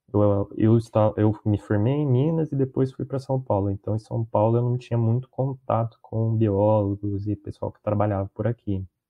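A man speaks in a normal speaking voice at a medium pitch. His loudness swings widely. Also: fairly even intonation, moderate pace. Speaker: biologist and podcast host. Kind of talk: casual interview chat. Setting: recorded live stream call.

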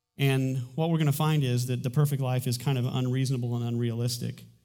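The speech moves at a fairly quick pace with fairly even intonation. Room echo is audible. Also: man. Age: 40s. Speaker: pastor. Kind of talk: sermon. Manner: halting.

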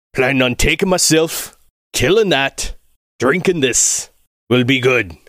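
In a raspy put-on character voice, a man speaks at a fairly slow pace and medium pitch, with long, frequent pauses. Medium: actual play. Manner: gruff, condescending.

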